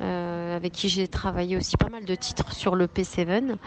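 A woman speaks at a fairly slow pace. Her medium pitch moves with ordinary variation. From France, of Moroccan heritage. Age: young. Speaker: singer-songwriter. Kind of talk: interview. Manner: halting, with repetitions.

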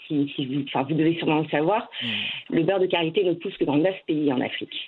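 A woman speaks with ordinary pitch variation. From France, Ivorian-born (moved at age 3). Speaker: start-up founder, cosmetics entrepreneur. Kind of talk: interview. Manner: hesitant, many fillers and repetitions.

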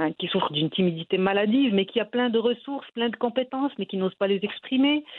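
Her intonation is lively. The speaker is a woman. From Morocco. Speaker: novelist. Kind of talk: interview. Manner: hesitant.

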